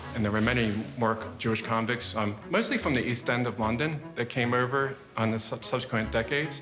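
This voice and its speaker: A man with an American accent talks at a fairly quick pace in a medium pitch, with music in the background and audible room echo. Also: ordinary pitch variation. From US, Baltimore. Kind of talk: guided tour interview.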